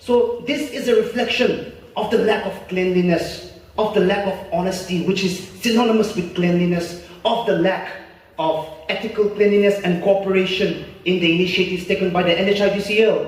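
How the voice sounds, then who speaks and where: A man with a high pitch, fairly even intonation and moderate pace, against noticeable background noise. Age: 20s. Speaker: student debater and public speaker. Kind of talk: formal speech at a government event.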